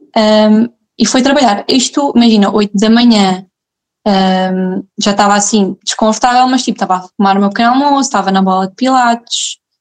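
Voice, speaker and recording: A woman with a plain, everyday voice speaks at a fairly high pitch and a moderate pace, her intonation fairly even and her loudness very even. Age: 20s. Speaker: mother sharing birth story. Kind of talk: personal testimony in casual interview.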